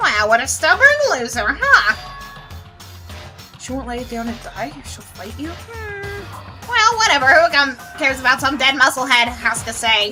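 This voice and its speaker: A woman does a strained, put-on character voice at a high pitch and a moderate pace. Clear music plays in the background. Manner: mocking, dismissive.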